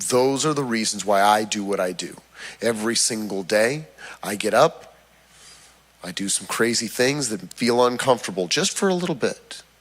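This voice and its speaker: A man speaks at a moderate pace with a medium pitch and lively intonation. He has an ordinary speaking voice. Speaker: fitness trainer. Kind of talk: health talk to church audience. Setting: church hall with audience.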